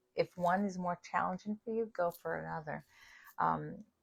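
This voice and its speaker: Speaking at a fairly quick pace, a woman with a New York accent and a fairly low pitch is heard in a dry, close sound with no echo. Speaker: spiritual author and live host. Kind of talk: livestream spiritual talk. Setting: livestream video. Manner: casual, conversational with fillers.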